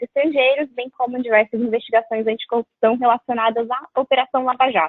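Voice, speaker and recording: Speaking at a very fast pace, a woman with a Brazilian accent uses a high pitch. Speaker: lawyer. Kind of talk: webinar presentation. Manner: formal.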